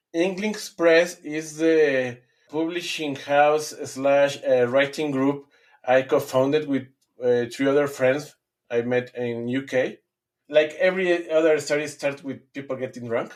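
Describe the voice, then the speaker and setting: Speaking with a Spanish accent, a man uses a fairly high pitch, fairly even intonation and a fairly slow pace. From Mexico. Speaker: fantasy author. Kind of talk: interview answer.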